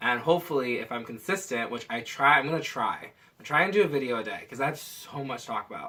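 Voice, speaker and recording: Loud and fairly quick, a man talks in a bright, sharp tone. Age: 20s. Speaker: vlogger. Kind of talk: casual vlog monologue. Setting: at home, window open.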